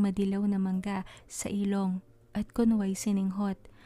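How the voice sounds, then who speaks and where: A woman's voice moves at a moderate pace while music plays behind her. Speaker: author and narrator of her own stories. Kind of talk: horror fantasy story narration.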